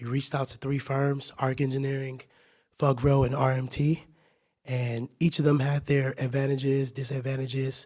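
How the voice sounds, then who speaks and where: Somewhat breathy and monotone, a man speaks flatly at a moderate pace and a medium pitch. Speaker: city staff presenter. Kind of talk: presentation. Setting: council meeting.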